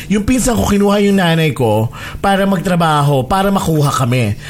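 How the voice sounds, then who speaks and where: An animated man with a high pitch races along at a very fast pace, his pitch swinging very widely over noticeable background noise. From Philippines. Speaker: podcast host. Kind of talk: casual chat.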